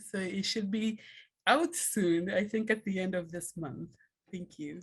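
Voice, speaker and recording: Her voice is somewhat breathy, and the woman's pitch varies in an ordinary way. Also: medium pitch for a woman, fairly slow pace. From Kenya. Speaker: scholar, book editor. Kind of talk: short presentation in a video call.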